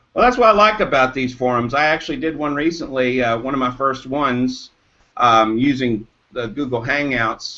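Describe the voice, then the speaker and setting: A man's voice at medium pitch with a bright, sharp tone, moderate pace, and ordinary pitch variation. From Eastern Kentucky. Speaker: caller. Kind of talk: casual chat. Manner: halting, many fillers.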